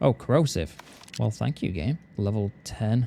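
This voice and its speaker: Music plays in the background. The speaker talks at a fairly quick pace with ordinary pitch variation. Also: man. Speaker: gaming streamer. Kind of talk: live gameplay commentary. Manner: casual, animated.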